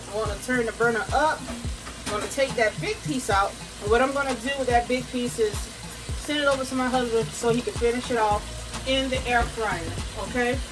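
A woman's high-pitched voice at a fairly quick pace, with ordinary pitch variation and clear music in the background. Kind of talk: casual cooking tutorial. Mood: upbeat, playful. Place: kitchen. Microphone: camera far.

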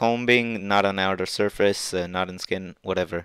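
A flat, monotone voice with a non-native accent at a moderate pace, on a very clean, dry, close recording with a silent background and no echo. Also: man. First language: not English. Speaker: 3D printing hobbyist YouTuber. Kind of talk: tutorial screen-share walkthrough. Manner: hesitant, many filler words.

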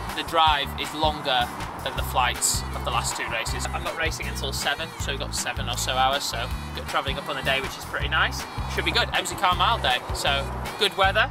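Over clear background music, a man speaks at a fairly quick pace in a dry sound with no echo. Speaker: runner vlogger. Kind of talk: casual vlog chat. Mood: cheerful, joking. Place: car.

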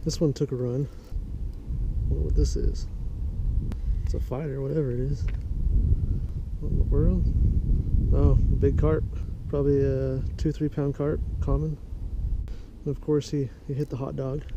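A man talks at a moderate pace with long, frequent pauses. The sound is dry with no echo, though background noise is noticeable. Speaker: angler vlogger. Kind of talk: casual fishing vlog commentary. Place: waterside. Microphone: phone near.

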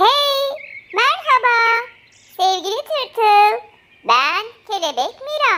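A woman's squeaky, put-on character voice at an extremely high pitch, with lively intonation, a very slow pace and long, frequent pauses. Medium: read story.

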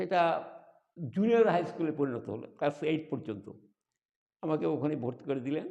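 Lively intonation runs through this dark, mellow voice. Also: man, fairly high pitch for a man. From Bangladesh, Sirajganj district (Kamarkhanda). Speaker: retired school teacher. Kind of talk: life-story interview. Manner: halting.

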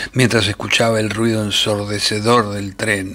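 A man's bright, sharp tone. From Argentina. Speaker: actor. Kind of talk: short story reading.

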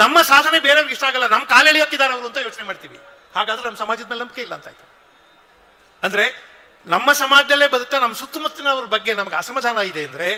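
A man's raised, projected voice, extremely high in pitch, with ordinary pitch variation and big swings in loudness amid noticeable background noise. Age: 60s. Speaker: professor and public speaker. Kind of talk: speech at a religious festival. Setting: stage with large audience.

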